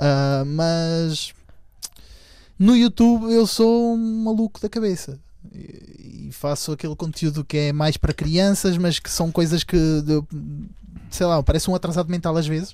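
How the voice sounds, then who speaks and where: A high-pitched man talks at a fairly slow pace, with ordinary pitch variation and long, frequent pauses. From Venezuela. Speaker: YouTuber. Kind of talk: casual chat.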